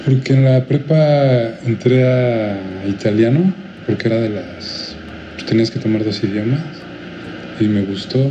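With noticeable background noise, a man of medium pitch speaks at a fairly slow pace, taking long, frequent pauses, his pitch variation ordinary. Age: 30s. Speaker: video editor. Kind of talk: casual chat.

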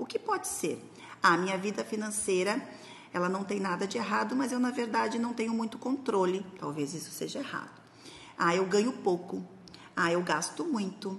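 Noticeable background noise sits behind this woman's voice. She talks at a moderate pace with a medium pitch and ordinary pitch variation. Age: 40s. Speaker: productivity and finance coach. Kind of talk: instructional talk. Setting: recorded video for social media. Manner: casual, conversational.

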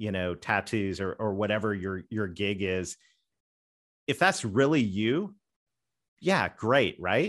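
In a Southern US accent, a man speaks at a fairly slow pace with lively intonation. The recording is very clean, with a silent background. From Canada. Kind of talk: podcast interview.

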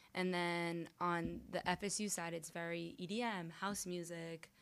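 At a fairly slow pace, an ordinary speaking voice talks in an American accent. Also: woman, very clean recording, silent background. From Miami, Florida. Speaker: DJ. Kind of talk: casual interview.

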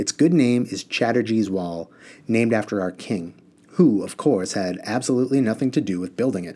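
Lively intonation marks this passage of reading aloud in a natural voice.

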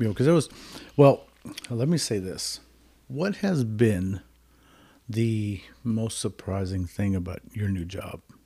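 Speaking at a fairly slow pace with long, frequent pauses, a man uses a fairly low, somewhat breathy voice with a dark, mellow tone and lively intonation. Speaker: podcast host in recovery. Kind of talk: casual podcast conversation.

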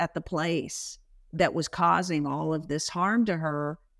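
A plain, everyday voice from a woman with an American accent, fairly low in pitch, fairly slow and fairly even, on a very clean recording with a silent background. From Washington State, US. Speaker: brand executive and author. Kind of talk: interview.

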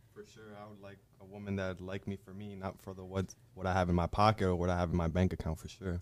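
A man with an American accent speaks at a very fast pace in a very deep, low pitch, his intonation flat and monotone while his loudness swings widely. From New Jersey. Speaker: podcast guest. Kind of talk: casual chat.

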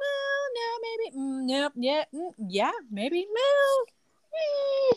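This put-on character voice sits at an extremely high pitch and sounds shrill. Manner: whiny, hesitant.

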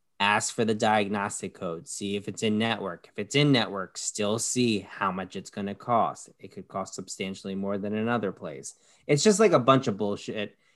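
A man with an American accent talks in an ordinary speaking voice, fairly low in pitch, at a moderate pace with hardly any pauses. His pitch varies in an ordinary way, his loudness swings widely, and the recording is very clean with a silent background. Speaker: podcast host.

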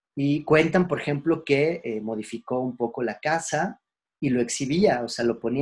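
A man speaks in a Mexican accent at a fairly high pitch. His pitch varies in an ordinary way. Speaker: philosophy teacher. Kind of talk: lecture. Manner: hesitant, many fillers; casual, conversational.

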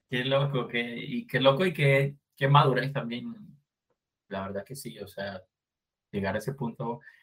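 A man talks at a fairly slow pace with vocal fry. His intonation is lively. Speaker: podcast host. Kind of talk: casual chat.

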